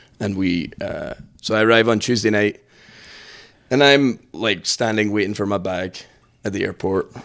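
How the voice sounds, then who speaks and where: Speaking in a Scottish accent at a moderate pace, a man uses a fairly low pitch with ordinary pitch variation and long, frequent pauses. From Scotland. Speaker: priest. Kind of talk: casual chat.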